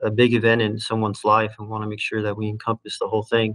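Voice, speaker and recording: Against a quiet background, a man speaks in a fairly low pitch with monotone, flat intonation. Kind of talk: lecture. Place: home room. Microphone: webcam.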